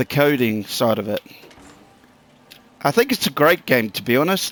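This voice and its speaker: In a New Zealand accent, a man speaks in a medium pitch with a dry, close sound and no echo. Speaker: gaming YouTuber. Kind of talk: gameplay commentary. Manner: casual, swearing rant.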